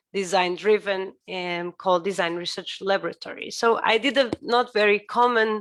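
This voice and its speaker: A woman with a Portuguese accent speaks at a moderate pace and medium pitch with ordinary pitch variation. She barely pauses, and the recording is very clean with a silent background. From Portugal. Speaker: architect. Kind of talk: lecture. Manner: halting.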